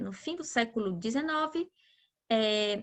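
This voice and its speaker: Over a quiet background, a woman uses a raised, projected voice with a bright, sharp tone. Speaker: geography teacher. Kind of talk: lecture.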